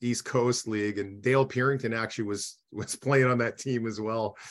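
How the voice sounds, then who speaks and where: A Canadian prairie accent at a moderate pace, monotone, flat intonation, quiet background. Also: man. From Saskatchewan, Canada. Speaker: former hockey player, radio analyst. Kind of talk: casual interview. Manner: hesitant, many fillers.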